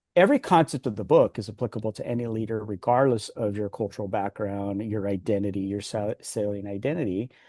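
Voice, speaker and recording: Speaking at a very fast pace with hardly any pauses, a man with a Californian accent has a fairly low pitch, a dark, mellow tone and ordinary pitch variation, in a dry, close sound with no echo and a quiet background. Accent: American English, Californian. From US West Coast, Los Angeles. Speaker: executive coach and author. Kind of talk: interview.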